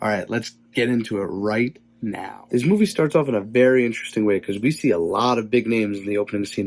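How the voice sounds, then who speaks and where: Fairly quick delivery with fairly even intonation and music in the background. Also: man. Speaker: movie reviewer. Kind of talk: casual video review.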